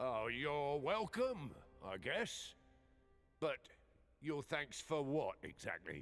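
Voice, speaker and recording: In a raspy, put-on character voice, the speaker goes at a very slow pace with long, frequent pauses as faint music plays in the background. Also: man, fairly high pitch for a man. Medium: video game. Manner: casual, inquisitive.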